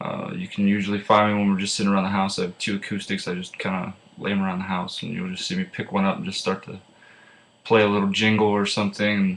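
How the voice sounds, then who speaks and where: This man has an American accent and a fairly low pitch. He speaks at a very fast pace with monotone, flat intonation. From Pennsylvania, rural farm. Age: 20s. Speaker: student. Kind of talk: class self-introduction speech. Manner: casual with many filler uhs.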